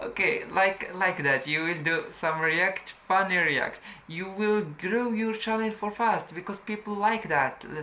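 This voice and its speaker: A woman speaks with a non-native accent. There is noticeable background noise behind her. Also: medium pitch for a woman, ordinary pitch variation, fairly slow pace. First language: not English. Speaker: YouTube tutorial creator. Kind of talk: tutorial. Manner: halting.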